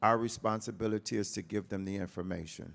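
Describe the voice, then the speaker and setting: The man's voice sits fairly low and has vocal fry. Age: 60s. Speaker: youth mentor and arts educator. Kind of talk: panel discussion.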